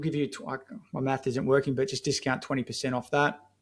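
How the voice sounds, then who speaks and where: On a very clean recording with a silent background, a man with an Australian accent talks in a fairly high pitch with fairly even intonation. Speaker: marketing agency founder. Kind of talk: podcast interview. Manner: casual, filler-heavy.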